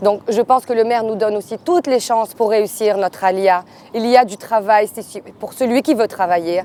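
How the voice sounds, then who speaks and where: A woman's ordinary speaking voice, fairly high in pitch, with ordinary pitch variation, a moderate pace and a dry, close sound with no echo. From Marseille, France. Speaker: hairdresser. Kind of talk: interview testimony.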